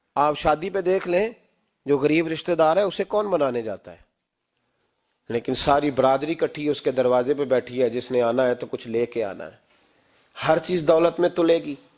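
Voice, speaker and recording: Passionate in tone, a man talks at a fairly high pitch with ordinary pitch variation and big swings in loudness. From Pakistan. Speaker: Islamic scholar and preacher. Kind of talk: Islamic sermon (bayan) to a congregation. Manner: passionate, emphatic, preaching tone.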